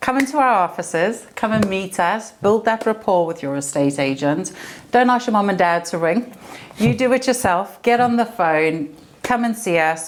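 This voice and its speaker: A woman with a South African accent speaks at a moderate pace, medium in pitch with lively intonation. Noticeable background noise runs behind her. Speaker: estate agent. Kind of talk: podcast interview.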